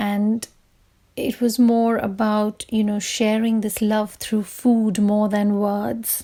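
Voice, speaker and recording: A woman's fairly high, dark, mellow voice, monotone and flat, at a very slow pace with very even loudness. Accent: Bengali. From India. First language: Bengali. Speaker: writer leading a workshop. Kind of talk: workshop talk with poem reading.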